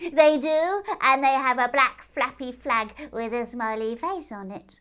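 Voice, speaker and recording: Here a woman puts on a character voice with a high pitch. She talks at a fairly slow pace. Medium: read story. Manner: dreamy, stubbornly matter-of-fact.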